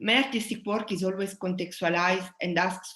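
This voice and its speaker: A woman talks at a fairly quick pace with a strong Italian accent. Her medium-pitched voice keeps fairly even intonation. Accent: Italian, very strong. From southern Italy. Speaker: sound artist. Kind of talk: presentation talk. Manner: halting.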